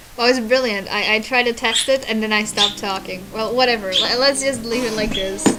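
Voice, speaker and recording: Against noticeable background noise, a woman speaks at a fairly quick pace and a fairly high pitch with fairly even intonation. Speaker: streamer. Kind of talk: casual live stream chat. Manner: halting.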